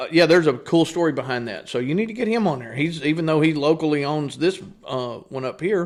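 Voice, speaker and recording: With an East Texas accent, a man talks at a fairly quick pace, his pitch fairly high and his intonation lively. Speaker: business owner. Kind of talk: casual chat.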